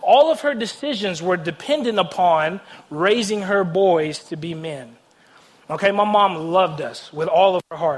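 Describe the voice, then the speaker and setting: With a Tennessee accent, a man speaks at a moderate pace at a high pitch. His tone is animated and his intonation lively. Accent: Southern US (Tennessee). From US South, Nashville, Tennessee. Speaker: guest preacher. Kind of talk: sermon. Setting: church stage with audience.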